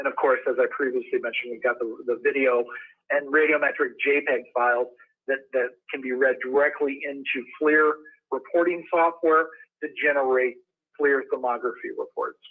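Against a quiet background, a man with an American accent talks at a moderate pace. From Wisconsin. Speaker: industrial sales engineer. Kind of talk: webinar presentation. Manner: hesitant with fillers. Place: home room. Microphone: webcam.

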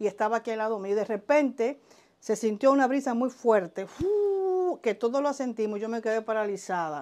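A woman's fairly high voice with a Dominican accent and lively intonation. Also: moderate pace. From Dominican Republic, southern border region (Elías Piña), raised in Santo Domingo; Dominican Republic. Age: 50s. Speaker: vodou spiritual practitioner; interviewee. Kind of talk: interview, life story. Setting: at her home. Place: home room. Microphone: lapel.

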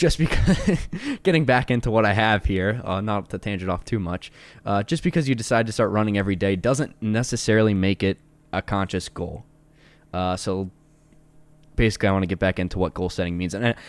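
In a fairly low pitch with ordinary pitch variation, a man talks at a fairly quick pace. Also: dry sound with no echo. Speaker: podcast co-host. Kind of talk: casual podcast discussion. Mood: relaxed, laughing at times. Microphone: studio mic.

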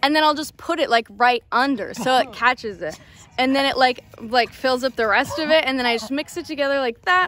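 Speaking fairly quickly, a woman has a high pitch and lively intonation. The sound is dry with no echo, with light background noise. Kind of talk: comedic skit dialogue. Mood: playful, giggling. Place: open country. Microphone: phone near.

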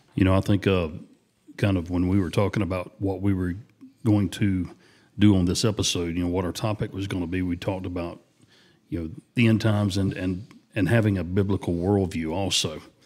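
A man with a Southern US accent speaks at a fairly quick pace in a very deep, low voice with fairly even intonation. The recording is very clean, with a silent background. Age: 50s. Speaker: podcast co-host. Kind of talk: casual chat.

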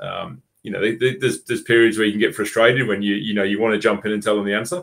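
Speaking at a fast pace, a man has a fairly low pitch and a fairly bright tone. There is vocal fry, and his intonation stays fairly even.

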